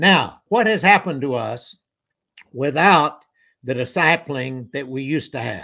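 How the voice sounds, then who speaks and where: With a bright, sharp tone and lively intonation, a man speaks in a very clean recording with a silent background. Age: 80s+. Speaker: conference speaker, church minister. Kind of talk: sermon.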